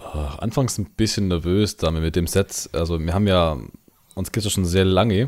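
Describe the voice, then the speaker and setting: Moderately paced, a man with an unremarkable speaking voice keeps his intonation fairly even. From Bavaria, Allgäu. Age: 20s. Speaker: metal band singer and guitarist. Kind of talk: casual chat. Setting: remote call over the internet.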